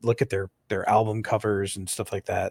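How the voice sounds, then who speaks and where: The sound is dry and close, with no echo. A man speaks at a fairly quick pace and a fairly low pitch with fairly even intonation, in an ordinary speaking voice. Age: 30s. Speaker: metal podcast co-host. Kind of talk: casual debate.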